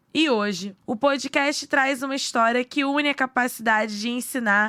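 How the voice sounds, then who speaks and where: In a very clean recording with a silent background, a woman uses a raised, projected voice at a high pitch. Her tone is bright and sharp, her pace fairly slow, and her pitch variation ordinary. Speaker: podcast narrator. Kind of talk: news podcast narration.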